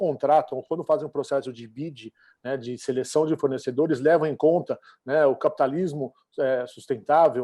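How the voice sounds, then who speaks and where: Fairly quick, fairly high-pitched male speech in a dark, mellow tone, with a dry, close sound and no echo. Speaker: travel association representative. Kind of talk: panel discussion. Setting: online event. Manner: fast; halting, many fillers.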